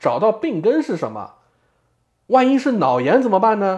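Speech moves at a moderate pace against a quiet background. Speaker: podcast co-host, former student advisor. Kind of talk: casual chat.

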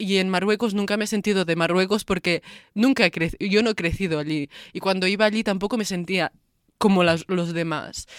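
A woman speaks at a medium pitch and a fairly quick pace, with a plain, everyday voice. Her intonation is fairly even, and the sound is dry and close with no echo. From Lleida, Catalonia. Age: 20s. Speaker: daughter of immigrants. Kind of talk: testimony.

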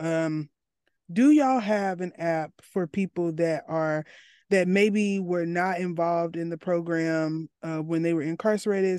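A woman with an Arkansas accent speaks in a fairly low, dark, mellow voice with ordinary pitch variation, with a dry, close sound with no echo and a quiet background. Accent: Southern US (Arkansas). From US South, Arkansas. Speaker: podcast host, mental health student. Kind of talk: interview conversation.

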